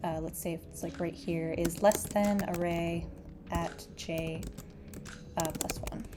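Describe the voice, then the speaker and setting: A woman speaks at a very slow pace with fairly even intonation over noticeable background noise. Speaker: programming tutor. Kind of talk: coding tutorial narration. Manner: drowsy; casual, hesitant.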